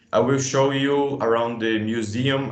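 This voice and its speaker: Against audible room echo, a man with a Brazilian Portuguese accent talks at a moderate pace in monotone, flat intonation. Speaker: museum educator. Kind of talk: workshop discussion. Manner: halting.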